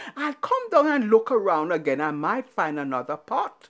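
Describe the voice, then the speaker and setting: A woman performs a put-on character voice at a medium pitch and a moderate pace. Her pitch swings very widely. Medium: read story. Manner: blustering, stammering.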